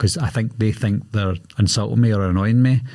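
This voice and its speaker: A man speaks at a fairly quick pace with a Glaswegian accent, his voice fairly low and somewhat breathy. His pitch varies in an ordinary way, and the recording is very clean with a silent background. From Scotland, Glasgow. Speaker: horror movie YouTuber. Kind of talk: podcast interview. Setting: podcast studio.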